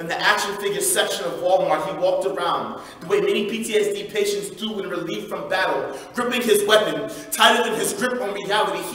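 The talking moves at a fairly quick pace with fairly even intonation. Audible room echo colors the sound. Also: man. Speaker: spoken word poet. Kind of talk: live spoken word poetry performance. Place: church.

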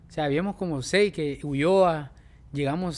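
A man is speaking here. His pitch varies in an ordinary way. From El Salvador, San Salvador. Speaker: professional footballer; podcast guest. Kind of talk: casual chat; interview answer. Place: studio. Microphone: studio mic.

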